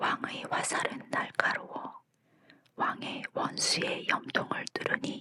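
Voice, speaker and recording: A woman whispers at a very slow pace in a calm, gentle tone. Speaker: Bible reader, ASMR narrator. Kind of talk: Bible reading for sleep, ASMR audiobook. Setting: studio with condenser microphone. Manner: calm, gentle, soft.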